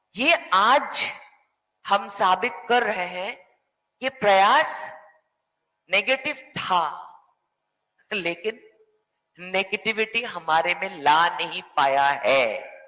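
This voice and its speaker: A woman with a non-native accent speaks at a medium pitch in a bright, sharp tone, with very wide pitch swings and long, frequent pauses. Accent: non-native Hindi. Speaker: panel discussion guest. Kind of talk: panel discussion.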